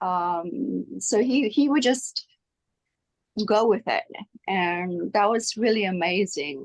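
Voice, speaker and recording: A woman speaks at a very slow pace. Long pauses come frequently. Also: medium pitch for a woman, lively intonation. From South Africa. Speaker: actress. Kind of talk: interview. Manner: halting.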